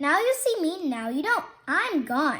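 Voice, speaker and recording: A raised, projected, put-on character voice moves at a fairly slow pace. Its pitch swings very widely. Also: woman. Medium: read story. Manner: soft, polite.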